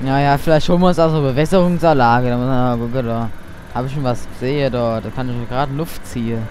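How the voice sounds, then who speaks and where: Over noticeable background noise, a man talks at a very fast pace in a medium pitch with ordinary pitch variation. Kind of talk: let's play roleplay gaming commentary.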